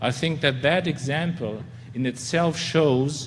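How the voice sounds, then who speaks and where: Over music in the background, a man with a German accent speaks at medium pitch with ordinary pitch variation, with audible room echo. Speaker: theologian and historian. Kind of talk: formal debate. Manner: halting.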